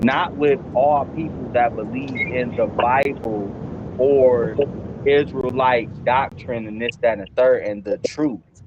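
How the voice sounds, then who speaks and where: A man with an American accent speaks at a very slow pace. His medium-pitched voice comes with noticeable background noise. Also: ordinary pitch variation. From US Midwest. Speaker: podcast co-host. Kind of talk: casual chat. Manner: animated.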